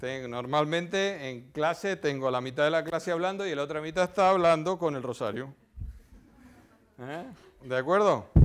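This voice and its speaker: Pausing long and often, a man with a fairly high pitch talks at a fairly slow pace with ordinary pitch variation. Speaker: physics professor. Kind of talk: public lecture. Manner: animated.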